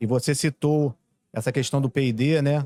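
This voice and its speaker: A man speaks at a moderate pace and medium pitch. The recording is very clean with a silent background, dry and close with no echo. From Brazil. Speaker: podcast host. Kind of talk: podcast interview. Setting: event venue.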